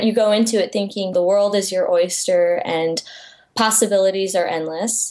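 A woman's medium-pitched voice, an ordinary speaking voice, with an American accent at a moderate pace. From US Midwest, Iowa. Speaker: illustrator and author. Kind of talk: casual chat.

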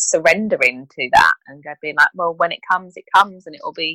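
A woman talks with a British accent. The sound is dry and close, with no echo. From UK. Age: 30s. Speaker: infertility support professional. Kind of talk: interview.

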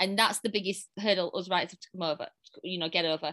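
A woman with a strong British accent, medium pitch, a bright, sharp tone, fairly even intonation, and a very fast pace. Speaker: romance author. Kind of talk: casual interview chat.

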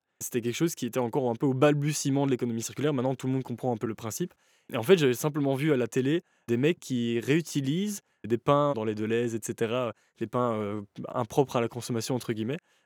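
The pace is very fast. The recording is very clean, with a silent background. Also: man, medium pitch for a man, ordinary pitch variation, dry, close sound with no echo. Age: 20s. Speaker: clothing brand founder. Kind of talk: interview.

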